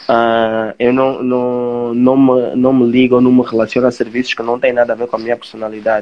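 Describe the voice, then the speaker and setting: A man talks at a moderate pace and a medium pitch. His intonation is monotone and flat. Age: 20s. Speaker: social media influencer. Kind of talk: live interview. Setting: Instagram live video stream.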